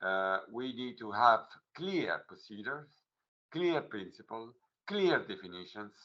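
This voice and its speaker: At a fairly slow pace, a man with a medium pitch and a bright, sharp tone speaks with very wide pitch swings, big swings in loudness, and long, frequent pauses. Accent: Italian. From Italy. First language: Italian. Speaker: legal official. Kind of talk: workshop presentation. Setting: online video meeting. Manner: halting, many fillers.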